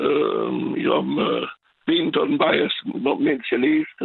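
A man talks at a very slow pace. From France. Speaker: caller, retired HR worker. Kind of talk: phone-in call. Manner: halting, many fillers.

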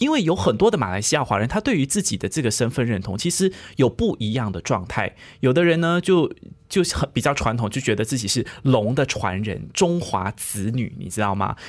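Recorded very cleanly against a silent background, a man talks at a fairly quick pace with very wide pitch swings. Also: medium pitch for a man. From Malaysia. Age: 20s. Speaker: podcast co-host. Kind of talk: podcast discussion.

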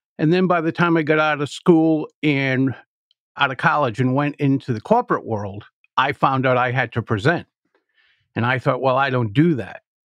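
A man with an American accent, a normal speaking voice, and a fairly high pitch talks at a moderate pace with ordinary pitch variation, in a dry, close sound with no echo and a quiet background. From US Northeast, Providence, Rhode Island. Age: 60s. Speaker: public speaking coach. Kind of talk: podcast interview.

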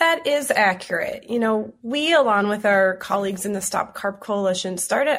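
A woman with an American accent and an ordinary speaking voice, medium in pitch with ordinary pitch variation, at a moderate pace. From Twin Cities, Minnesota. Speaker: environmental advocate. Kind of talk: radio interview.

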